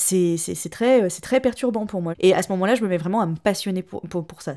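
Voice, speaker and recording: On a very clean recording with a silent background, a woman talks at a fairly quick pace in a medium pitch, her dark, mellow tone carrying ordinary pitch variation. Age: 30s. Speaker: interviewee telling family history. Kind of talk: personal testimony interview.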